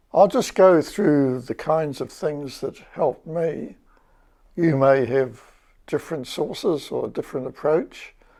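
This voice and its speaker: In a New Zealand accent, a man with a dark, mellow tone speaks fairly slowly at a fairly high pitch, with ordinary pitch variation, on a very clean recording with a silent background. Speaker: retired academic and local historian. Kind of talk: casual educational talk.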